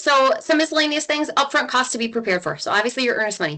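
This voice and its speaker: A woman at a very fast pace with lively intonation. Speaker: real estate agent. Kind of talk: webinar presentation.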